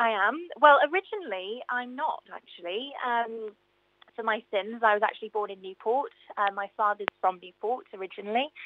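A woman with a South Welsh accent, fairly high in pitch, at a moderate pace. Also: ordinary pitch variation. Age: 20s. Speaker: singer and radio travel presenter. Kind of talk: casual chat. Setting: radio studio.

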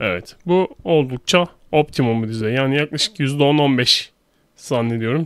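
This man has a clear, smooth tone at a medium pitch. He speaks with ordinary pitch variation.

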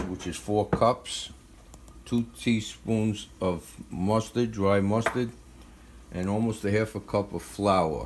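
There is noticeable background noise as a man talks very slowly. His pitch is fairly low and his intonation fairly even. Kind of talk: tutorial. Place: kitchen. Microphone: phone near.

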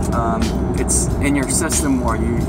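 Music plays behind a man as he talks. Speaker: fitness trainer. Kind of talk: casual vlog chat. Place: car. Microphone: phone near.

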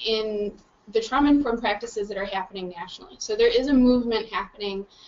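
A woman talks at a fairly quick pace. Light background noise sits behind her. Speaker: presenter. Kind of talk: lecture. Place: meeting room. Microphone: camera far.

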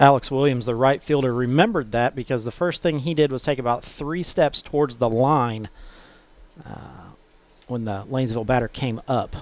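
This man talks at a moderate pace and medium pitch, with ordinary pitch variation. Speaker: color commentator. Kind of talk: live sports commentary, relaxed analysis. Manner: conversational, casual, some hesitations and repeats.

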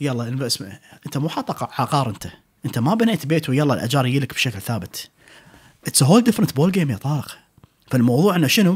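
Over a quiet background, a somewhat breathy man speaks at a fairly quick pace with very wide pitch swings. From Kuwait. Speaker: restaurant owner and chef; podcast guest. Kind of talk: casual interview chat. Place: studio. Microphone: studio mic.

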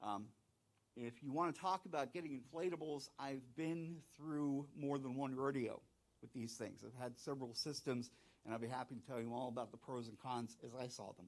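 A man with an American accent talks in a plain, everyday voice at a medium pitch, moving at a moderate pace with ordinary pitch variation. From southeastern North Carolina. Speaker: planetarium director. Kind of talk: conference talk. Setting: stage with audience and online viewers. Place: hall. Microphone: handheld.

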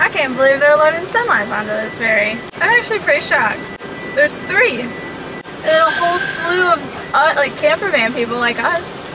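Noticeable background noise sits under a woman's voice. She speaks in a raised, projected voice at a moderate pace. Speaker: travel vlogger. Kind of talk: casual vlog chat. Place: car.

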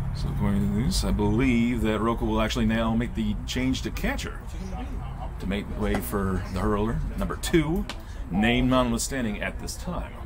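Background noise is noticeable throughout. The talking goes at a moderate rate. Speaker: game commentator. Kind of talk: sports commentary. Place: stadium.

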